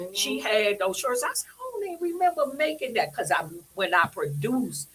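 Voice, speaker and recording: A woman talks at a moderate pace with fairly high pitch, very wide pitch swings and big swings in loudness. Noticeable background noise runs under her voice. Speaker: fashion designer. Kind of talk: casual chat.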